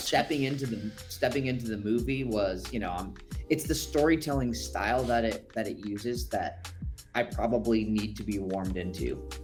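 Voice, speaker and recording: Over music in the background, a man speaks at a moderate pace with fairly low pitch and very wide pitch swings. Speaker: voice actor. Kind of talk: interview answer. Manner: casual, conversational.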